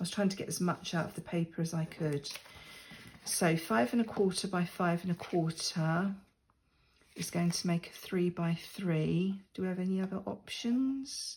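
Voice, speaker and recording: A woman with an English accent, fairly low in pitch, with ordinary pitch variation and a moderate pace. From England. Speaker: crafting YouTuber. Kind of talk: crafting tutorial. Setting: sitting at a desk at home. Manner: casual, chatty with fillers.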